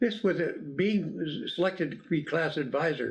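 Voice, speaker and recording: A man with a high pitch, ordinary pitch variation, and a fairly slow pace. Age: 90s. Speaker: retired coast guard officer. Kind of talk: interview.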